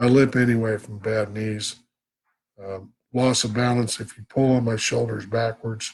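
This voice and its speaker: This man's voice is somewhat breathy and swings widely in loudness. His intonation stays monotone and flat. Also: medium pitch for a man, moderate pace. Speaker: vlogger with Parkinson's. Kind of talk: live stream talk. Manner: halting.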